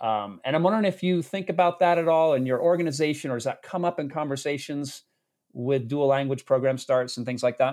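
Against a quiet background, a man speaks fairly quickly in a fairly high pitch with ordinary pitch variation. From Massachusetts. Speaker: podcast host. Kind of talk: interview. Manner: halting, many restarts.

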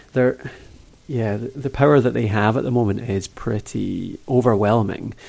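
Vocal fry marks a man's medium-pitched voice as he talks at a fairly slow pace with fairly even intonation. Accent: Scottish. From Scotland. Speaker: podcast host. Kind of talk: interview, casual chat. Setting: remote call.

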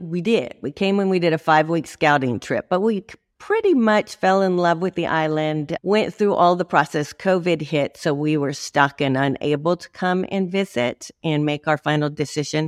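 A woman with an American accent talks at a moderate pace with hardly any pauses, her pitch fairly low. The sound is dry and close, with no echo. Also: ordinary pitch variation. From Chicago, Illinois, US. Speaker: YouTuber, expat guest. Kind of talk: interview, casual chat.

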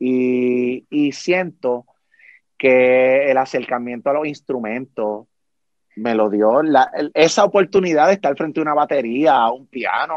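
A man talks at a fairly slow pace, his medium pitch moving with ordinary variation. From Puerto Rico. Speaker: podcast host. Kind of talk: interview.

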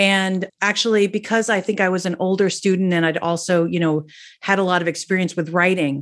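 A woman with an American accent speaks at a fairly quick pace, her pitch medium for a woman, in an unremarkable speaking voice. The background is quiet. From New Jersey. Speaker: singer-songwriter. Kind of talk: casual interview.

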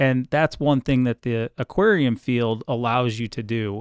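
With an unremarkable speaking voice, a man with an American accent talks at a fairly slow pace and a medium pitch, with ordinary pitch variation, on a very clean recording with a silent background and a dry, close sound with no echo. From US Midwest, Cleveland, Ohio. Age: 40s. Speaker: aquarium supervisor. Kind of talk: interview. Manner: frequent fillers and repetitions.

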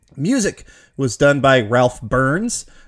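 Using a normal speaking voice, a man talks at a moderate pace and a medium pitch. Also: very clean recording, silent background. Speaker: podcast host. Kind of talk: casual chat.

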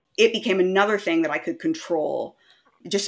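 With a Maritime Canadian accent, a woman talks at a fairly quick pace with ordinary pitch variation. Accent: Canadian (Maritimes). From Canada, rural New Brunswick. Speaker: eating disorder survivor sharing her story. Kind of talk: interview testimony. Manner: animated.

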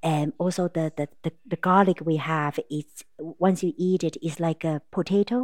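A woman with a Taiwanese accent, very deep and low in pitch, fairly slow with fairly even intonation, in a very clean, dry, close recording with no echo and a silent background. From Taiwan, Taipei. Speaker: restaurant owner and pharmaceutical consultant. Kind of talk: casual interview.

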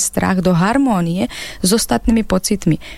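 On a very clean recording with a silent background, a woman uses a normal speaking voice at a medium pitch. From Ukraine. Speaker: psychologist and author. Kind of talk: radio interview. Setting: radio studio.

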